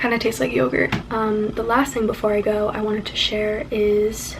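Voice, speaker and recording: Noticeable background noise sits behind this recording. A woman talks at a moderate pace with a fairly high pitch. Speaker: witchcraft vlogger. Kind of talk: casual vlog.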